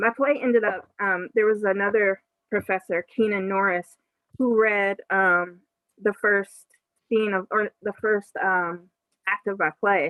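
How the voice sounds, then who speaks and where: In a normal speaking voice, a woman with an American accent talks at a fairly slow pace, her medium pitch held in fairly even intonation. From Western Pennsylvania, Aliquippa near Pittsburgh. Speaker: author and playwright. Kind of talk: book launch Q&A.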